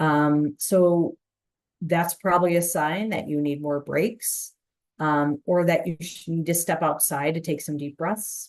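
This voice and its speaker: An ordinary speaking voice moves at a fairly slow pace with fairly even intonation against a quiet background. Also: woman, fairly low pitch for a woman. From Chicago. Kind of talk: webinar presentation. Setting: online webinar.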